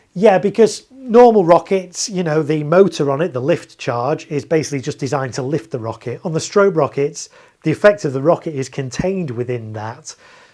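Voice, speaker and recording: In a British accent, a man talks fairly quickly at a fairly high pitch with lively intonation. The recording is very clean, with a silent background. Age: 40s. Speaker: fireworks display operator and streamer. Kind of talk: live stream chat reading viewer comments. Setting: home garage. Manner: casual, with many fillers.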